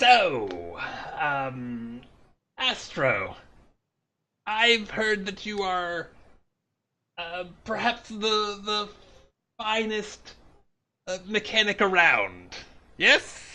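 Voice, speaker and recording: The voice is a put-on character voice, pitched fairly high. It moves at a very slow pace. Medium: actual play. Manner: polite, proper.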